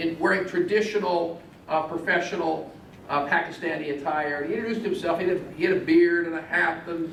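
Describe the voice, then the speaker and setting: Recorded with audible room echo and noticeable background noise, a man talks at a fairly quick pace in a high voice. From Italy. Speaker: state senator. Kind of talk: public speech.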